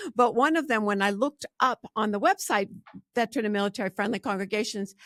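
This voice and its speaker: A woman with a fairly high pitch and lively intonation talks at a fairly quick pace, the sound dry and close with no echo on a very clean, silent-background recording. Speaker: podcast host. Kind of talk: podcast interview intro. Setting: studio. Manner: energetic.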